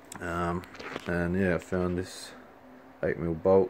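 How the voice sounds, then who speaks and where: Against noticeable background noise, a man talks in a very deep, low pitch with monotone, flat intonation. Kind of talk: casual talk to camera. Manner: mumbly.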